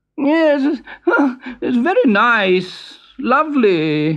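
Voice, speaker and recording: A man mumbles in a put-on character voice, extremely high in pitch, with very wide pitch swings and a very slow pace. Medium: read story. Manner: mumbling, hesitant.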